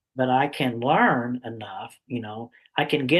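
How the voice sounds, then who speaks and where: A man with an ordinary speaking voice talks at a medium pitch and a fairly slow pace. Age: 60s. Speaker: summit interviewer. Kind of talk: interview.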